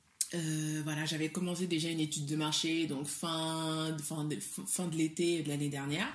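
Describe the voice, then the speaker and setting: A woman's very deep, low pitch at a very slow pace with fairly even intonation, audible room echo and music in the background. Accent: West African. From Mali. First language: Soninke (speaking French). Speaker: entrepreneur, cosmetics brand founder. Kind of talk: interview. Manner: hesitant, many fillers.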